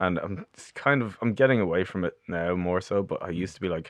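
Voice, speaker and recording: In a Dublin accent, the speaker talks at a fairly quick pace with ordinary pitch variation against a quiet background. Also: man. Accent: Dublin Irish. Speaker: bass player and composer. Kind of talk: casual chat. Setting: studio.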